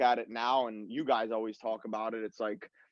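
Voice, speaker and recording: A man speaks at a medium pitch. His is an unremarkable speaking voice. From Long Island, New York, US. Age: 20s. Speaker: professional footballer. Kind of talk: casual chat.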